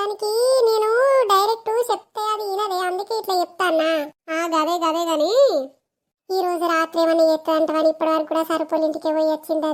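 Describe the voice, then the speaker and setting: A cartoonish character voice at a moderate pace. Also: female-sounding voice. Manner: chatty, conspiratorial.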